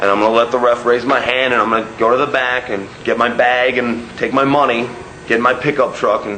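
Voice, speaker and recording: The voice has monotone, flat intonation at a fairly quick pace. Noticeable background noise runs underneath. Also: man, medium pitch for a man. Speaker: professional wrestler. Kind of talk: wrestling promo.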